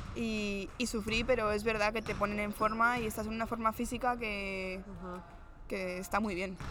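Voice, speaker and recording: A woman speaks at a moderate pace in a fairly high, bright, sharp voice. Her intonation stays monotone and flat. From Spain, Madrid. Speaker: professional basketball player. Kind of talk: interview. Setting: on location in a sports venue.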